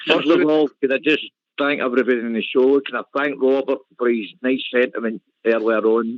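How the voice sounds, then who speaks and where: This voice has a Glasgow accent and ordinary pitch variation. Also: man. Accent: Scottish (Glasgow). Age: 60s. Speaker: caller. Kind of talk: phone-in call. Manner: halting.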